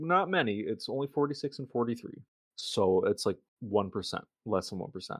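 A man speaks at medium pitch with a Michigan accent. His pitch swings very widely at a moderate pace. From Michigan, US. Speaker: podcast host. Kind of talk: casual chat.

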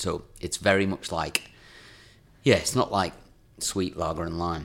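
Very deep and low in pitch, a man talks with a northern English accent. His pace is fairly slow and his intonation fairly even. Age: 40s. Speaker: podcast co-host. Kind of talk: casual chat. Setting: studio.

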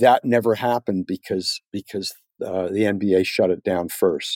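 A man speaks with a dark, mellow tone. The sound is dry and close with no echo, on a very clean recording with a silent background. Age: 60s. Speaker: economist, think tank fellow. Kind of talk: interview.

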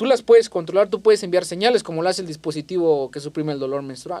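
Here a man speaks with a high pitch and a dark, mellow tone. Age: 20s. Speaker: robotics engineer and entrepreneur. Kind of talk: interview conversation. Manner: animated.

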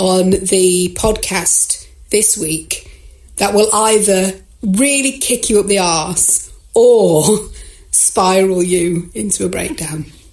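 A woman at medium pitch amid noticeable background noise. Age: 50s. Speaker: podcast co-host. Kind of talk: casual chat.

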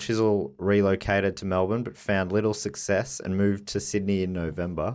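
In a very clean recording with a silent background, a man with a plain, everyday voice speaks at a fairly low pitch and a moderate pace. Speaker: podcast host. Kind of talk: casual chat.

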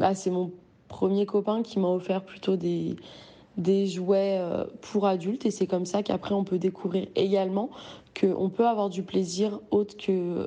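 A woman speaks at a fairly slow pace with long, frequent pauses, her tone dark and mellow and her intonation monotone and flat. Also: medium pitch for a woman. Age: 20s. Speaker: testimony contributor. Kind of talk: recorded testimony.

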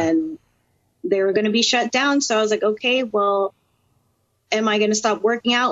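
A woman with a plain, everyday voice and an American accent talks at a moderate pace with ordinary pitch variation. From Florida (Orlando). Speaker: professional wrestler. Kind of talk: interview.

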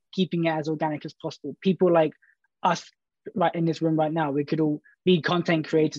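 Against a quiet background, a dark, mellow voice with a southern English accent runs very fast in a flat monotone, the sound dry and close with no echo. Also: man. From Brighton, England. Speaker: social media content producer. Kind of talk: panel discussion.

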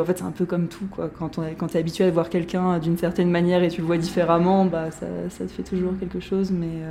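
This woman's intonation is monotone and flat. Her voice sits fairly low. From Paris region, France. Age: 20s. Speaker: interviewee. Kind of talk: interview.

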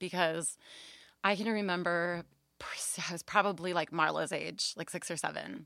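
A woman talks at a moderate pace in a plain, everyday voice with fairly low pitch. Her intonation stays fairly even, and the recording is very clean with a silent background. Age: 20s. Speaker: babysitter. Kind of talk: casual chat. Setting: home closet, recorded.

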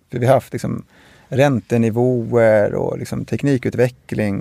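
A man's medium-pitched, dark, mellow voice at a moderate pace, dry and close with no echo, on a very clean recording with a silent background. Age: 40s. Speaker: construction company CEO. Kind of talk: interview. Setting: studio. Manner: halting.

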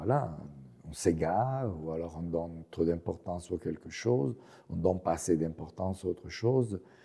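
With an Italian accent, a man speaks in a very deep, low pitch. His tone is dark and mellow. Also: ordinary pitch variation, moderate pace. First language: Italian (speaking French). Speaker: professor. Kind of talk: interview. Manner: halting.

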